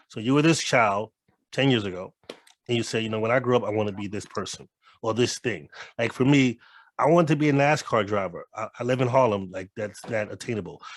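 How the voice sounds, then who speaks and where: Speech comes at a fairly quick pace, and the pitch varies in an ordinary way. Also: man, medium pitch for a man. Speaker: podcast co-host. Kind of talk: casual panel discussion. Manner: fast; halting, many repetitions.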